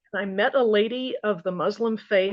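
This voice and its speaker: Here is a woman with an American accent and a normal speaking voice. Her pitch is fairly high with ordinary variation, and her pace is moderate. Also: quiet background. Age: 60s. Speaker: study participant. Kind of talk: group Bible study discussion.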